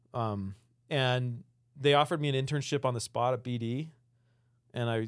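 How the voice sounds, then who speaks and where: Using an ordinary speaking voice with an American accent, the speaker keeps a moderate pace and fairly even intonation. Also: man. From Utah, Salt Lake City. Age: 40s. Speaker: outdoor product designer. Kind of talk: casual interview chat.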